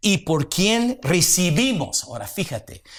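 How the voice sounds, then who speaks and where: In a very clean recording with a silent background, a man speaks with vocal fry and very wide pitch swings. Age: 60s. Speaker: pastor. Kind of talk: sermon.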